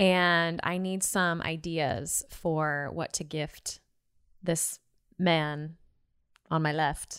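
A woman in an American accent, fairly low in pitch, monotone and flat, at a very slow pace with long, frequent pauses, on a very clean recording with a silent background. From Seattle area, US. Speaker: podcast co-host. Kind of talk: interview.

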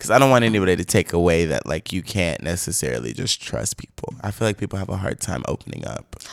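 A man's very deep, low voice with vocal fry, very fast and with hardly any pauses, swinging very widely in pitch, in a dry, close recording with no echo. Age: 20s. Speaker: podcast guest, airport worker. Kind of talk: casual chat.

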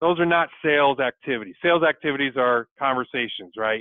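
Using a normal speaking voice, an American-accented man talks at a fairly high pitch and moderate pace with ordinary pitch variation. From Michigan, US Midwest. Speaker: sales executive. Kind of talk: interview.

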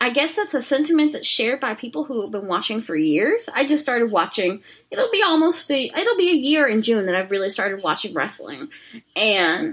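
Speaking at a fairly quick pace, a woman uses a high pitch with very wide pitch swings. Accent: American. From rural Texas. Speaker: fat activist. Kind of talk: casual chat.

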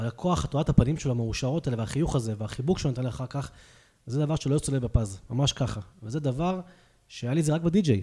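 Somewhat breathy, dark and mellow speech with lively intonation at a moderate pace, on a very clean recording with a silent background. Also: man. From Israel, Hadera. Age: 30s. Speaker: real estate agent. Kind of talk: interview. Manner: hesitant, many filler sounds.

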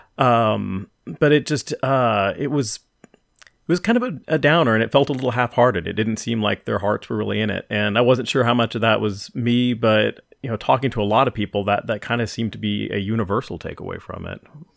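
Vocal fry runs through a man's medium-pitched voice as he talks at a fairly quick pace with hardly any pauses and ordinary pitch variation. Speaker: podcast host. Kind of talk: casual chat.

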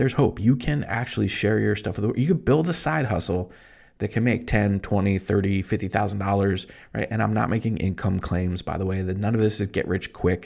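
This man sounds animated and upbeat, speaking at a fairly quick pace and fairly low pitch. There is vocal fry, and his pitch variation is ordinary. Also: quiet background. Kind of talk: pep talk. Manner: animated, upbeat, fired-up and motivational, pushing the listener to go for it; conversational, fast, punchy with emphatic repeated phrases.

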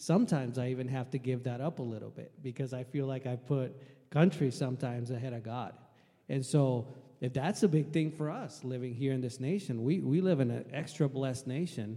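A man speaks with a dark, mellow tone at a medium pitch, with ordinary pitch variation. The recording is very clean, with a silent background. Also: fairly quick pace. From Puerto Rico. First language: Spanish. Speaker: air force veteran. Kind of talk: panel testimony.

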